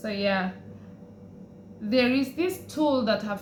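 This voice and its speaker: Audible room echo and noticeable background noise accompany a woman talking at a fairly slow pace. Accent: East African. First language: Swahili. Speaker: vlogger. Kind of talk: personal vlog. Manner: casual, hesitant with fillers.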